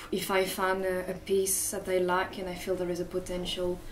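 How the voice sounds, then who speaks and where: Against noticeable background noise and audible room echo, a woman talks in a French accent. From France, Paris. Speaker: artist and fashion designer. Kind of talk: interview. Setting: cafe. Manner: halting, many fillers.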